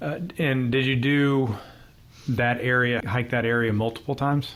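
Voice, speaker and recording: Speaking in a plain, everyday voice, a man keeps a medium pitch, a moderate pace, fairly even intonation and very even loudness. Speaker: podcast host. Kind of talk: interview questions.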